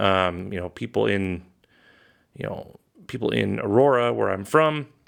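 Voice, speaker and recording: On a very clean recording with a silent background, a man with a General American accent speaks at a moderate pace and a fairly low pitch with lively intonation. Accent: General American (Colorado). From Colorado. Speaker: podcast host. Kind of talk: casual monologue. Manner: hesitant, many fillers.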